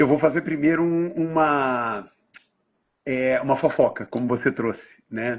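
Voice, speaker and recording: In a very clean recording with a silent background, a man with an unremarkable speaking voice, fairly high in pitch, talks at a fairly slow pace with ordinary pitch variation. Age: 60s. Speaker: NGO leader, live host. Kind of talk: casual interview chat.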